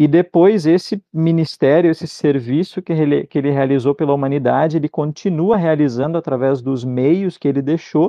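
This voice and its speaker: The man has an unremarkable speaking voice at a fairly high pitch, with ordinary pitch variation, a moderate pace and hardly any pauses. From southern Brazil (Rio Grande do Sul interior). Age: 20s. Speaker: Lutheran pastor. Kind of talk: theological discussion.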